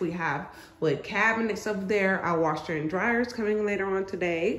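A woman talks at a moderate pace, her voice ringing with audible room echo. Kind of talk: casual vlog chat. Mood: pleased, upbeat. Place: home room. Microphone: phone near.

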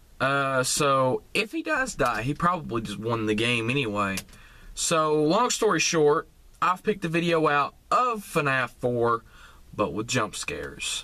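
A man talks at a fairly slow pace with a bright, sharp tone. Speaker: gaming reaction vlogger. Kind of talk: casual vlog chat. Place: car. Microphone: phone near.

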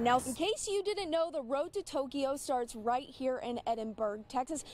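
This woman speaks in a high pitch with an energetic tone over noticeable background noise. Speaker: sports director and TV sports reporter. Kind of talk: TV sports broadcast reporting and anchoring. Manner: energetic, newscaster delivery.

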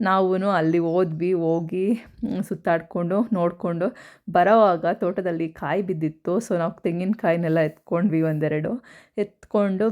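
In an ordinary speaking voice, a woman talks at a fairly low pitch with fairly even intonation. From rural Karnataka, Tumakuru district (near Huliyurdurga). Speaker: vlogger. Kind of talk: vlog narration. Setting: outdoors in village farm. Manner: casual, chatty.

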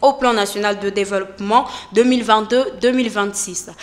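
Speaking very slowly, a woman uses a fairly high voice and keeps her intonation fairly even. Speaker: news anchor. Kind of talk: news reading. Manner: formal; steady, measured newsreader delivery. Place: studio. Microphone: studio mic.

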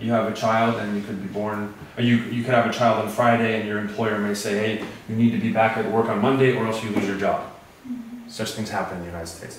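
A man with an American accent and fairly low pitch, very fast pace, monotone, flat intonation, light background noise, and audible room echo. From USA. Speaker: English teacher, Fulbright fellow. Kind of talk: lecture. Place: classroom. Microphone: camera far.

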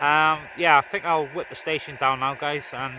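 A man speaks with fairly even intonation. The sound is dry with no echo, with noticeable background noise behind him. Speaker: CB radio hobbyist. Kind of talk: casual vlog chat. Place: open country. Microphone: phone near.

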